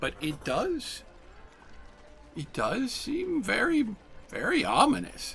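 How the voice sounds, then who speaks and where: A man in a put-on character voice, fairly slow, with long, frequent pauses and clear background noise. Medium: actual play. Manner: slow, wondering.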